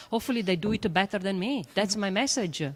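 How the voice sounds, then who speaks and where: On a very clean recording with a silent background, a woman with an Italian accent speaks at a medium pitch with ordinary pitch variation. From Italy. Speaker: astrophysicist and educator. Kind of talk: panel discussion. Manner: hesitant, many fillers.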